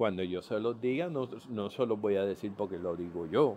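Pitched fairly low, a man's voice rises and falls with ordinary variation. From Puerto Rico. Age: 50s. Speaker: podcaster sharing diabetes journey. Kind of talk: personal testimony monologue. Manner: halting, many fillers and repetitions.

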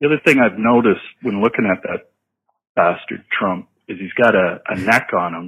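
Speaking at a moderate pace with a Canadian accent, the voice shows ordinary pitch variation and big swings in loudness. Long, frequent pauses break up the delivery. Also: man. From Canada. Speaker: caller. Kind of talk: voicemail message.

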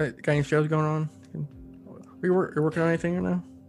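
With music in the background, a man at a fairly high pitch delivers his words in a deadpan tone with very even loudness. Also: moderate pace. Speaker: podcast host; storyteller who reads stories aloud. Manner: deadpan, monotone.

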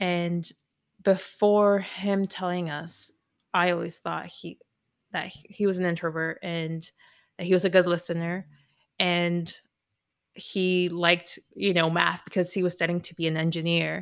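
A woman talks fairly slowly in a fairly low pitch, with monotone, flat intonation, big swings in loudness and long, frequent pauses. The recording is very clean, the background silent. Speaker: podcast producer and host. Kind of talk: casual chat.

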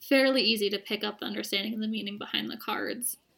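A woman with an American accent, fairly high-pitched, in a bright, sharp tone. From rural Vermont, US. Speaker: divination reader. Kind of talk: casual chat. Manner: polite.

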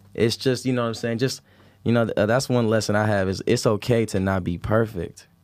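On a very clean recording with a silent background, a man uses a normal speaking voice at a moderate pace with fairly even intonation. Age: 20s. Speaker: rapper. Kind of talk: casual chat.

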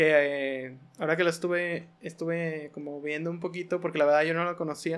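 A man with a Mexican accent speaks at a moderate pace in a fairly high, monotone, flat voice, with hardly any pauses. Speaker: podcast host. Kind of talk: casual chat.

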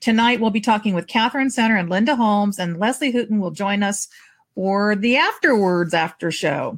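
Lively intonation and a fairly high, somewhat breathy voice from a woman at a moderate pace. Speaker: podcast host and novelist. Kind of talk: casual chat.

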